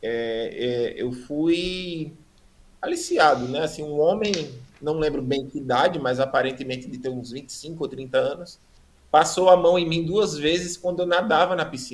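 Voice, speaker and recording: A man with a fairly high pitch and ordinary pitch variation has an ordinary speaking voice. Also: moderate pace. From Brazil, Rio Grande do Norte (Natal). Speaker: preacher giving testimony. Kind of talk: testimony.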